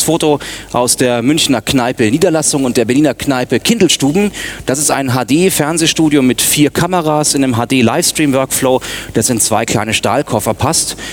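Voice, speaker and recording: Noticeable background noise sits behind a man speaking at a fairly high pitch. His pitch varies in an ordinary way, and his loudness stays very even. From Munich, Bavaria. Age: 30s. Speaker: media consultant and former radio newsreader. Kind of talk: conference talk.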